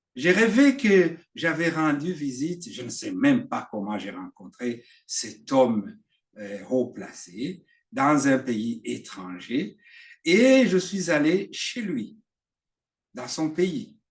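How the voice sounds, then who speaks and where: Against a quiet background, a man with a Burundian accent talks at a very slow pace in a fairly high voice with very wide pitch swings. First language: Kirundi (speaking French). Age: 60s. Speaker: preacher. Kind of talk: sermon. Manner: halting.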